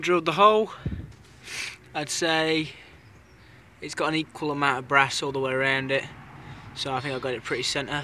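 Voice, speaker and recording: A man's bright, sharp voice at fairly high pitch, with a British accent and ordinary pitch variation. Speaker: hobbyist engine restorer. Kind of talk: tutorial. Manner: fast. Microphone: poor camera.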